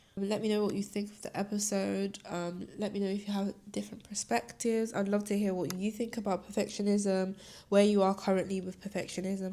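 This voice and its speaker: Her tone dark and mellow, a woman speaks with monotone, flat intonation. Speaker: podcast host. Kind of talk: solo podcast monologue. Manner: casual, chatty.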